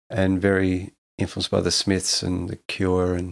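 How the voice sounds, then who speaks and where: A man's very deep, low voice with an Australian accent, monotone and flat, in a very clean recording with a silent background. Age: 50s. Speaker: rock guitarist. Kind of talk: casual interview.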